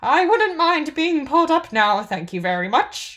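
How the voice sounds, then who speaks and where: A woman puts on a character voice at a high pitch with very wide pitch swings. The recording is very clean, with a silent background. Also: moderate pace. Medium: read story. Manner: crisp, matter-of-fact.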